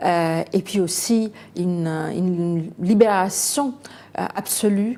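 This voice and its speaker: In a Bengali accent, a woman talks at a medium pitch. Her pace is very slow, with ordinary pitch variation. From India, Calcutta. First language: Bengali (speaking French). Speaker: novelist. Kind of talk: interview. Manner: hesitant, many fillers.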